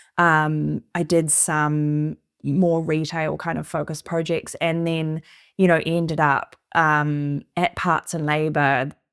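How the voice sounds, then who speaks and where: In a New Zealand accent, a woman talks very slowly with a very deep, low pitch and monotone, flat intonation, in a very clean recording with a silent background. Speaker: interior designer. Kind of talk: casual conversation.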